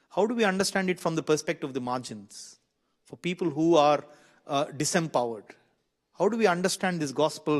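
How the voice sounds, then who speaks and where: A man with an Indian accent, fairly high in pitch, lively in intonation and fairly quick in pace, against a quiet background. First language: an Indian language. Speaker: minister and seminar speaker. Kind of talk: seminar talk. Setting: seminar room with audience. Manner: halting with self-corrections.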